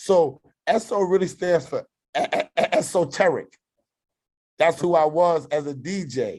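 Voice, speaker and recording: A high-pitched man with an American accent talks at a moderate pace with ordinary pitch variation and long, frequent pauses. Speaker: YouTuber and former DJ. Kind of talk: casual podcast chat. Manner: animated.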